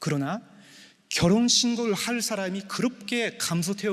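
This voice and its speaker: A man's voice with a non-native accent. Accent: non-native Korean, says his Korean is poor. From Japan. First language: Japanese (speaking Korean). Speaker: pastor officiating a wedding. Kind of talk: wedding sermon. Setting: church wedding ceremony with guests. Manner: halting, many filler sounds.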